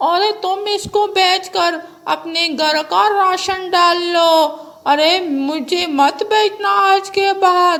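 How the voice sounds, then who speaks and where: A woman puts on a cartoonish character voice with an extremely high pitch. She speaks at a very slow pace. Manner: commanding, blunt.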